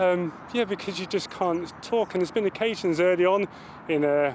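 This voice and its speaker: Over noticeable background noise, a man speaks at a fairly quick pace in a high pitch. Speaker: serviceman. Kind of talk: interview testimony. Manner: stammering.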